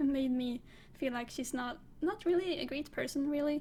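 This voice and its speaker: A woman with a high pitch speaks in a non-native accent. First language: not English. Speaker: book reviewer. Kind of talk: casual monologue. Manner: halting.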